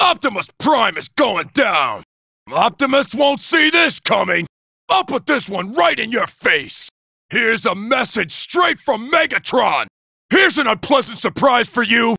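In a put-on character voice, a man shouts at an extremely high pitch while keeping a moderate pace. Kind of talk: video game combat barks. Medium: dub. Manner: cocky, taunting.

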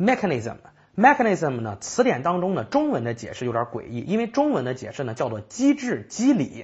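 The background stays quiet while a man talks. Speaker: IELTS vocabulary teacher; language teacher. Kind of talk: recorded lecture. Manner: conversational with frequent fillers. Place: studio.

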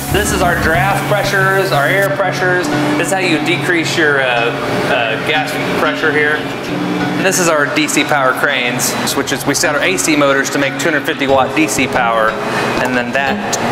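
The voice moves at a moderate pace with ordinary pitch variation. Music plays in the background. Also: man. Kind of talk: interview answer. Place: factory. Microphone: lapel.

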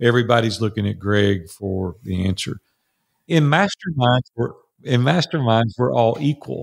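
With a Tennessee accent, a man speaks at a moderate pace. His pitch is medium and his intonation lively. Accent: US Southern (Tennessee). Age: 60s. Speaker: entrepreneur and mastermind coach. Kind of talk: interview conversation.

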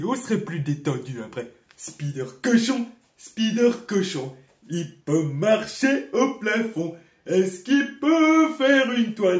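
A man's cartoonish character voice, high-pitched, at a fairly slow pace. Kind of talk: cartoon voice dubbing. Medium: fan dub. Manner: goofy, whiny, excitable.

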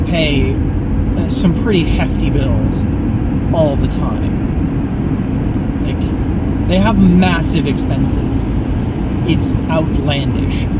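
A man speaks at a very slow pace against loud background noise. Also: dry sound with no echo. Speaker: vlogger driving home. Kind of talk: casual vlog chat. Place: car. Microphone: phone near.

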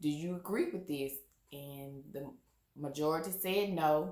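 In a quiet background with audible room echo, a woman talks at a fairly slow pace. Her voice has a very deep, low pitch. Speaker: vlogger. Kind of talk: casual vlog chat. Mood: animated, opinionated. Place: home room.

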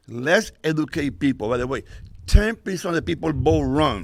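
Vocal fry in a man's fairly high-pitched voice. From Connecticut, Puerto Rican community. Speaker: local political candidate and community activist. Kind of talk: public comment speech. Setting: school board meeting. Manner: halting, repetitive.

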